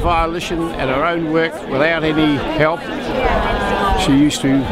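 Loud background noise surrounds a man whose voice is dry, without any echo. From New Zealand. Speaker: former pupil at school reunion. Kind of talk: interview answer. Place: street. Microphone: phone near.

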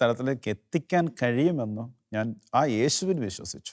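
A man speaks with ordinary pitch variation over faint music in the background. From Kerala, India. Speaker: lay preacher. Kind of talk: testimony. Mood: warm, smiling, reflective. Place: studio. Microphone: lapel.

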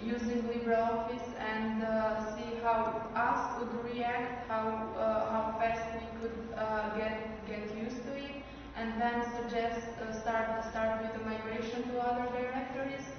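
A woman at a fairly slow pace, monotone and flat, with noticeable background noise and strong room echo. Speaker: conference presenter. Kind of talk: conference talk. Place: meeting room. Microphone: camera far.

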